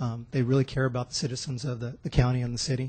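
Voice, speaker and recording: A somewhat breathy man talks very fast at a medium pitch. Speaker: fire division chief. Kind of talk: public presentation at council meeting. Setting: city council meeting. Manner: soft-spoken, quiet.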